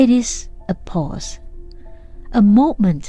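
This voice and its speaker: Over music in the background, a woman with a fairly high pitch talks at a very slow pace in a calm, gentle tone. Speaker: voice and presentation coach. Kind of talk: reflective podcast monologue. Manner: calm, slow, gentle.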